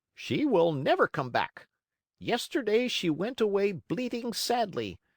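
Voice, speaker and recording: A man puts on a high-pitched character voice. The recording is very clean, with a silent background. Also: moderate pace. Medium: read story. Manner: gently lecturing.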